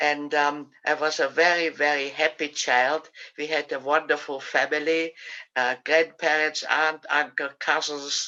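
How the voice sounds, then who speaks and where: A woman's very deep, low voice with a bright, sharp tone, monotone, flat intonation and a fairly slow pace. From Austria, Vienna. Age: 80s+. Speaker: Holocaust survivor. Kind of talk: interview testimony. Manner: halting.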